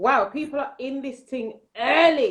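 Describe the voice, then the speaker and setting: A loud, high-pitched woman in a London accent, at a moderate pace. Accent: London English (Multicultural London English). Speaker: nursery manager. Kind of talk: casual chat. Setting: Instagram Live video stream.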